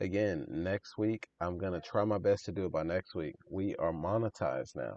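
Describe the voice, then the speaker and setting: Speaking at a moderate pace with hardly any pauses, a man uses a very deep, low pitch with vocal fry. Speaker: DTF printing business owner and YouTuber. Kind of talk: casual tutorial talk to camera. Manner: monotone.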